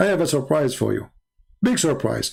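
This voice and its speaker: A somewhat breathy man at a very fast pace, with ordinary pitch variation. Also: very clean recording, silent background. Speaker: religious debater reacting to a debate video. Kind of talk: live-stream reaction commentary. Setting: live stream. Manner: animated, mocking.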